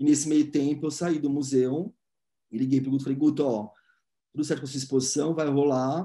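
A man's dark, mellow voice, fairly high in pitch, at a fairly quick pace with long, frequent pauses and fairly even intonation, against a quiet background. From Brazil, São Paulo. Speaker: art curator; interviewee. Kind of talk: interview. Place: home room. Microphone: video call.

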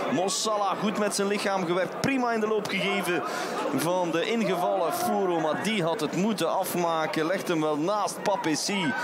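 With a Flemish accent, this voice has ordinary pitch variation and very even loudness, over noticeable background noise. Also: man, high pitch for a man, moderate pace. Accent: Belgian Dutch (Flemish). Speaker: football commentator. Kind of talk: live football commentary, play-by-play. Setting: stadium.

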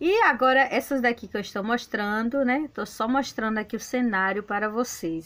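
At a moderate pace, a woman speaks in a fairly high voice with ordinary pitch variation and hardly any pauses. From Brazil, Bahia. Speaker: gardening video creator. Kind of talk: gardening tutorial; casual plant tour narration. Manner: casual, hesitant fillers. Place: garden. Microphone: phone near.

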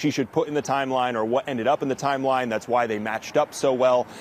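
The recording is dry with no echo and carries light background noise. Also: man. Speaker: TV news reporter. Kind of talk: live news report.

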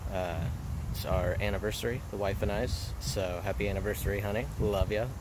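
Amid noticeable background noise, a man with a fairly low pitch speaks at a moderate pace. His pitch varies in an ordinary way, and the sound is dry with no echo. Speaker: fishing vlogger. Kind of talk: casual vlog chat. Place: waterside. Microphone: phone near.

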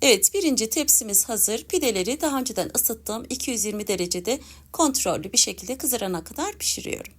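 In a normal speaking voice, a woman talks at a fairly quick pace with hardly any pauses, her pitch fairly high and her intonation lively. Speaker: cooking youtuber. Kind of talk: cooking tutorial. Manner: warm.

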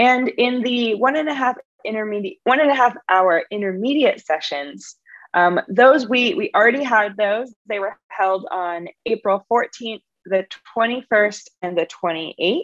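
A woman speaks at a very slow pace and a fairly high pitch. The sound is dry and close, with no echo. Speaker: training organizer. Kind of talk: webinar presentation. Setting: video call.

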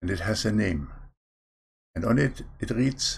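Against a quiet background, a man with a non-native accent speaks at a fairly slow pace with vocal fry. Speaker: online preacher. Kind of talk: sermon. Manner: stammers at times. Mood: calm, earnest. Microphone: webcam.

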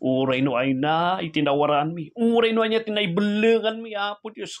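A man's high-pitched, intense voice with very wide pitch swings against a quiet background. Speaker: preacher. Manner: fervent, pleading, emotionally intense, with heartfelt petitions; earnest, rhythmic, repetitive invocations of 'Apo Diyos'. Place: home room. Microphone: phone near.

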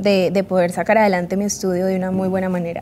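Over light background noise, a woman talks fairly quickly in a dark, mellow tone. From Colombia. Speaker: model; interview guest. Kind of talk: interview. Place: studio. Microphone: lapel.

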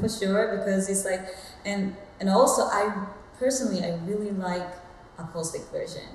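The speaker keeps a moderate pace with long, frequent pauses, and there is audible room echo along with light background noise. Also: woman. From Japan. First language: Japanese. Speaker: soul singer. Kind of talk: interview answer. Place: home room.

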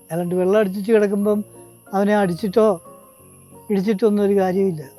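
Over music in the background, a man speaks in a high pitch with a monotone, flat intonation. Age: 80s+. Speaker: farmer. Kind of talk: interview answer.

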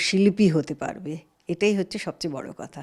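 A woman speaks at a medium pitch with a dark, mellow tone. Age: 70s. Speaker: veteran film and television actress. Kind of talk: interview.

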